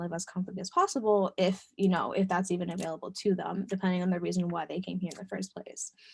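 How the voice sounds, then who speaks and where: Somewhat breathy, the voice rushes along at a very fast pace. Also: woman. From US, Dominican family. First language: Spanish. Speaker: webinar presenter. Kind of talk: webinar presentation. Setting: online webinar. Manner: hesitant, many fillers.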